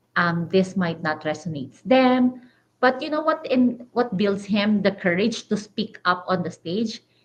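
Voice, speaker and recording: A woman speaks at a fairly slow pace, somewhat breathy. Her intonation is lively. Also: medium pitch for a woman. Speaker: digital business owner, podcast co-host. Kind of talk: casual chat.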